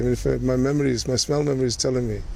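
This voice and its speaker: Noticeable background noise runs under this clip. A man speaks at a medium pitch with a Yorkshire accent. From northern England, Leeds (Kirkstall). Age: 60s. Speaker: community elder sharing oral history. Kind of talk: personal reminiscence interview.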